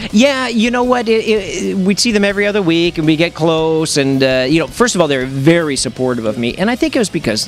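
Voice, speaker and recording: A man's high-pitched voice at a fairly quick pace, with very wide pitch swings, hardly any pauses, and music in the background. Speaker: ring announcer. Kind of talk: interview answer. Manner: conversational.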